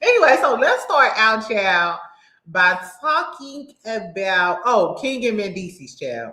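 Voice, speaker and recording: A woman speaks at a fairly slow pace with very wide pitch swings, in a room with audible echo. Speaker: celebrity gossip YouTuber. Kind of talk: casual vlog commentary.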